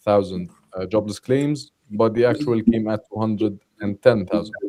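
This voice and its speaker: With an Arabic accent, a man speaks in a fairly low pitch at a moderate pace. His tone is dark and mellow. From Jordan. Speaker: trader. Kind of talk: live trading session.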